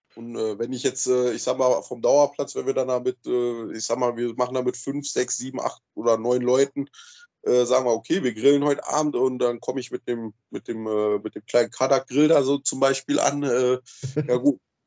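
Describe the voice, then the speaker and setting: Flat, monotone male speech at a medium pitch and a moderate pace. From Rhineland-Palatinate, Germany. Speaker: camping group organizer. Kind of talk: casual chat. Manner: halting, repeats words.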